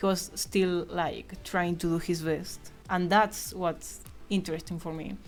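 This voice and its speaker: Someone speaks with a Spanish accent at a very slow pace. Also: woman. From Argentina. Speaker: streamer and digital artist. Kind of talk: casual live stream chat while drawing.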